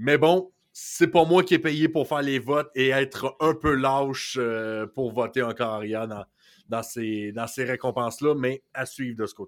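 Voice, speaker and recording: Over a silent background in a very clean recording, a man with a Quebec accent talks at a fairly slow pace, medium-pitched with ordinary pitch variation. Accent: Québécois French. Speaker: sports podcast co-host. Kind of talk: casual chat.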